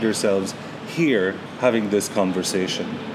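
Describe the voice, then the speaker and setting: A man keeps a moderate pace, his pitch varying in an ordinary way, while noticeable background noise carries on behind him. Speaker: podcast host. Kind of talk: interview.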